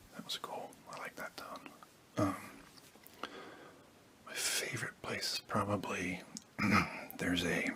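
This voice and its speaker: A man whispers at a fairly slow pace, with long, frequent pauses. His loudness swings widely, and there is noticeable background noise. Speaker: ASMR creator. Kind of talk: casual Q&A talk to camera. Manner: whispered, soft-spoken; hesitant, with frequent filler words.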